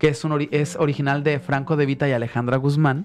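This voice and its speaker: Talking at a fairly quick pace, a man keeps his fairly high pitch in fairly even intonation. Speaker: singer; guest, actor. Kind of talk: radio interview. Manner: halting. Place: studio. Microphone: studio mic.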